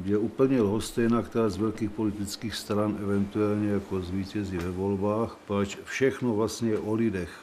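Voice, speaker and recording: Over noticeable background noise, a man talks in a flat monotone at a fairly low pitch. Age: 70s. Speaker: election candidate. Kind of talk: campaign interview.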